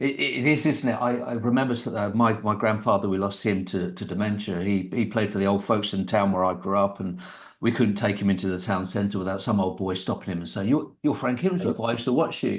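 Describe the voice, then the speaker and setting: Against audible room echo, a man with a southern English accent talks fairly quickly at a fairly low pitch, with ordinary pitch variation and hardly any pauses. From Kent, England. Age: 30s. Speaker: podcast host. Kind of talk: podcast interview.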